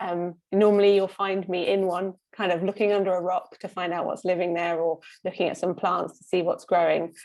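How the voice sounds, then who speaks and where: With a British accent, a woman talks at a fairly quick pace in a medium pitch, recorded very cleanly against a silent background. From UK. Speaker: scientist. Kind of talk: panel introduction. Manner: hesitant, many fillers.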